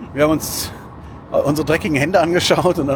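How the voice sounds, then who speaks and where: Amid noticeable background noise, a man talks at a very fast pace with a fairly high pitch and fairly even intonation. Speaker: podcast host. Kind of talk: casual chat. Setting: in a car.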